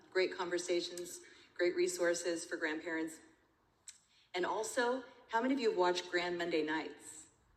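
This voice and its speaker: A woman with an American accent speaks in a fairly low pitch with ordinary pitch variation and long, frequent pauses, with audible room echo. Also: moderate pace. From California. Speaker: master of ceremonies and speaker. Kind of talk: emceeing a conference.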